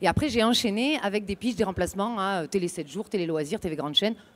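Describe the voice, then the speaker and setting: With a southern French accent, a woman speaks in lively intonation. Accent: southern French accent, kept on purpose. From southern France. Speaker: radio and TV presenter contestant. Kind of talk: competition chronicle and jury Q&A.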